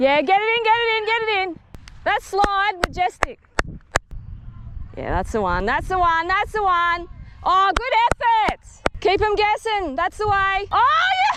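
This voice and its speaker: Over noticeable background noise, a woman speaks with an extremely high pitch and a raised, projected voice. Her pitch variation is ordinary, her pace fairly slow, with long, frequent pauses. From Darwin, Australia. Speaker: injured player running drinks at a cricket game. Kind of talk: sideline cheering and banter. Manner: loud, encouraging.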